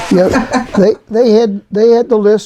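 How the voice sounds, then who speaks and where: A man's dark, mellow tone in a Central Pennsylvania accent. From Harrisburg, Pennsylvania. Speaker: retired fire department administrative assistant. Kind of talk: interview answer.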